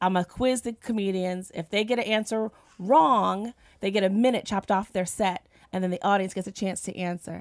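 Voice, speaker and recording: Using a plain, everyday voice and an American accent, a woman speaks at a fairly quick pace with ordinary pitch variation, in a very clean recording with a silent background and a dry, close sound with no echo. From New Jersey. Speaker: comedian. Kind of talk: casual chat. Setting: studio.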